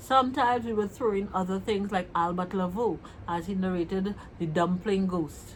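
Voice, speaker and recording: In a Trinidadian accent, a woman talks at a fairly slow pace and a medium pitch. Her voice is somewhat breathy, with ordinary pitch variation. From Trinidad and Tobago. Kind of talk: casual vlog talk to camera.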